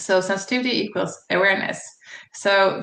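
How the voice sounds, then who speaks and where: Audible room echo surrounds a woman speaking at a moderate pace in a medium pitch. Her bright, sharp tone has vocal fry and fairly even intonation. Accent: Swedish. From Sweden. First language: Swedish. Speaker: psychologist and channel host. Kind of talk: channel introduction monologue. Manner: hesitant, many fillers.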